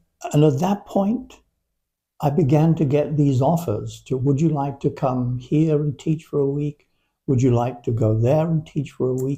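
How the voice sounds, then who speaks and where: Moderate pace from a man, fairly high-pitched yet dark and mellow in tone, somewhat breathy, with ordinary pitch variation. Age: 80s+. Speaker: Alexander Technique teacher. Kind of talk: interview conversation. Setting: in person.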